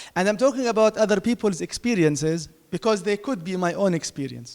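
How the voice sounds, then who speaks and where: A man talks at a fairly quick pace with an Arabic accent. His intonation is lively. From Gaza, Palestine. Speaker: poet. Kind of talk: panel discussion. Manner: halting.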